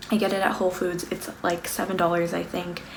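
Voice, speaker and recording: A woman with an American accent speaks in a fairly low pitch. Noticeable background noise and audible room echo fill the recording. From US West Coast, Los Angeles. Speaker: beauty and lifestyle vlogger. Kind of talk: casual monthly favorites vlog. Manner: casual, filler-heavy (um, like).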